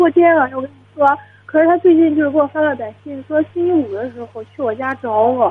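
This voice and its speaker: Music plays in the background as a woman speaks. Her voice is high-pitched, with ordinary pitch variation and a fairly quick pace. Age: 20s. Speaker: university student. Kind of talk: phone-in advice call. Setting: phone call. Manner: quiet.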